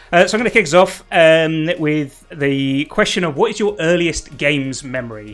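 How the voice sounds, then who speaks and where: With music in the background, a man of fairly high pitch talks at a moderate pace with lively intonation. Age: 40s. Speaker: live show host. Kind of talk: live show discussion.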